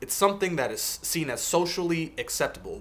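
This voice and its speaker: Very fast talk in a Seattle accent. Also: man. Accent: American, Seattle. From US Pacific Northwest, Seattle. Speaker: video blogger, IT worker. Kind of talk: advice vlog. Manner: earnest, emphatic.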